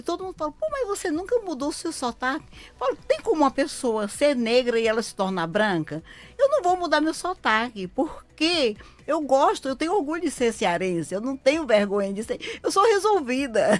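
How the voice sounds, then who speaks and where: At a moderate pace, a woman speaks in a high pitch with very wide pitch swings and big swings in loudness. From Ceará, Brazil. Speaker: lawyer. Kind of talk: live radio interview. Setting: radio studio.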